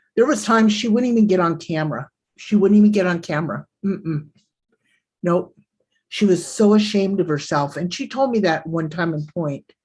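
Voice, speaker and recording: A woman speaks at a fairly quick pace with a somewhat breathy, medium-pitched voice. Her tone is animated, her intonation lively, and the background is quiet. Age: 60s. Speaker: livestreamer. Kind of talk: casual chat. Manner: boisterous.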